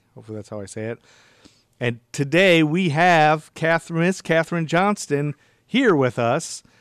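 Male voice, a normal speaking voice at a moderate pace with ordinary pitch variation, dry and close with no echo against a quiet background. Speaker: podcast host. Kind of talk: interview.

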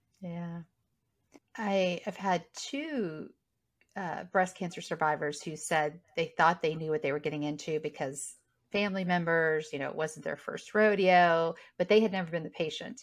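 A woman speaks in an ordinary speaking voice at a fairly low pitch with ordinary pitch variation. She keeps a moderate pace against a quiet background. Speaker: interviewer. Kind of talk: casual interview.

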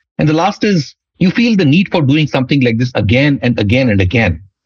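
Somewhat breathy, a man talks fairly quickly with very wide swings in pitch. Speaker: startup executive and author. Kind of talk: interview.

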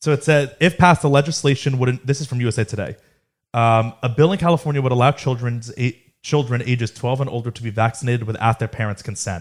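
A man talks at a very fast pace with a medium pitch and a somewhat breathy sound. The recording is very clean, with a silent background. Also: ordinary pitch variation. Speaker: podcast host. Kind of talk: casual banter podcast.

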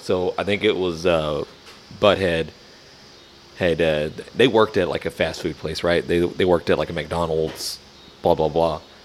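In a slight Southern US accent, the speech has fairly even intonation and long, frequent pauses, with noticeable background noise. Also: man. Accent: Southern drawl, slight. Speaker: barbecue podcast co-host. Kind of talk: casual chat.

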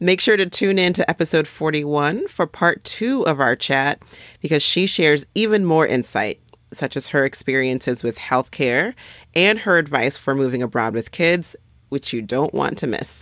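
A woman's very deep, low voice at a moderate pace, with lively intonation. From Nigeria. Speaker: physician podcast host. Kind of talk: scripted narration; casual chat.

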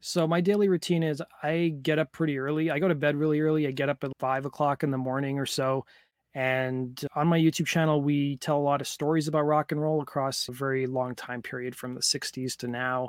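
This man has an unremarkable speaking voice, fairly high in pitch, with fairly even intonation and hardly any pauses at a fairly quick pace. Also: dry, close sound with no echo. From Canada. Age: 30s. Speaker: YouTuber. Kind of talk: interview.

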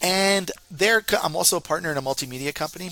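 A man talks at a very fast pace in a Northeastern American accent, with vocal fry and ordinary pitch variation. His tone is animated, bright and sharp.

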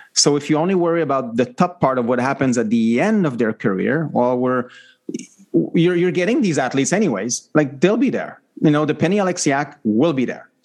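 Lively in intonation, a man with a Quebec accent speaks at a fairly high pitch. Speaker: former Olympian co-host. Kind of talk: casual interview.

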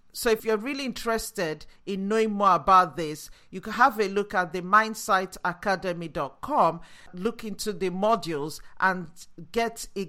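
With a Nigerian accent, a woman speaks at a medium pitch and fairly slow pace in an enthusiastic, bright and sharp tone, with ordinary pitch variation. The recording is very clean, with a silent background. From Nigeria, after early childhood in Yorkshire. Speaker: neuroscience-based leadership coach. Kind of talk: solo educational podcast monologue. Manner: enthusiastic, motivational.

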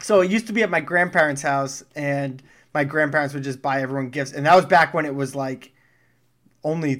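A man speaks in a plain, everyday voice at a fairly quick pace, with fairly high pitch and ordinary pitch variation, on a very clean recording with a silent background. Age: 30s. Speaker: podcast co-host. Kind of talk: casual chat.

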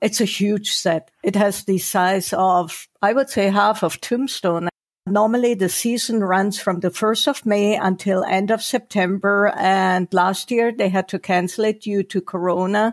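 In a very clean, dry, close recording with no echo and a silent background, a woman with a German accent speaks fairly slowly at a medium pitch, with fairly even intonation, very even loudness and hardly any pauses. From Germany. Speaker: novelist. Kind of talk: interview.

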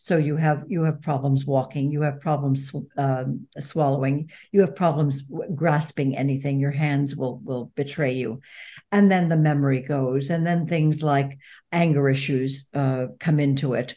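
Against a quiet background, a woman speaks at a moderate pace with a very deep, low pitch and a dark, mellow tone. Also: fairly even intonation. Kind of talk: interview.

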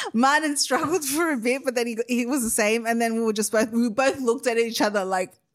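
Against noticeable background noise, a woman with a fairly high pitch speaks at a fairly quick pace with ordinary pitch variation and hardly any pauses. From Australia.

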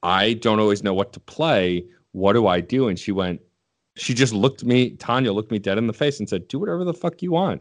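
A man talks at a fairly quick pace with a fairly low pitch and lively intonation. He has a normal speaking voice, heard against a quiet background. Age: 30s. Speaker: podcast producer and host. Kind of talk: casual chat.

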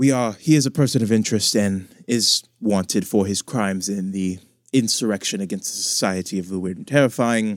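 On a very clean recording with a silent background, a man has an ordinary speaking voice at a fairly low pitch. He talks at a moderate pace with fairly even intonation. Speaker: dungeon master. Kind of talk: tabletop roleplaying game session with character voices.

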